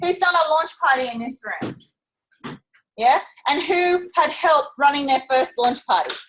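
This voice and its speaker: Loud and high-pitched, a woman speaks at a moderate pace with lively intonation and long, frequent pauses. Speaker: motivational speaker at a sales training event. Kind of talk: live talk to an audience. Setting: room with live audience. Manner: animated.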